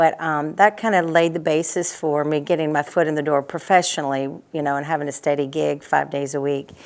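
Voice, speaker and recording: Against a quiet background, a woman with a Tennessee accent talks at a fairly quick pace in a very deep, low pitch, with hardly any pauses and fairly even intonation. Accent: Tennessee twang. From US South, Nashville, Tennessee. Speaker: singer and entertainer. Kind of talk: interview.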